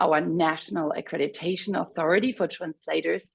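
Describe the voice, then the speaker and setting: A woman speaks at a moderate pace in a German accent, her pitch swinging very widely. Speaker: webinar moderator. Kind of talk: webinar presentation.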